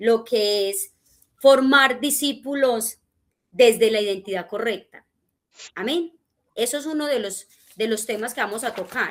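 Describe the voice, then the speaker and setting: Pausing often and at length, a woman with a fairly high pitch speaks at a fairly slow pace with ordinary pitch variation. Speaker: discipleship teacher. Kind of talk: church teaching class.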